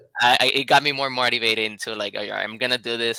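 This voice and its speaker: Talking at a very fast pace, a man has a bright, sharp tone. His medium pitch carries fairly even intonation. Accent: Puerto Rican. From Puerto Rico. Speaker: life insurance agent. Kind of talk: casual interview chat.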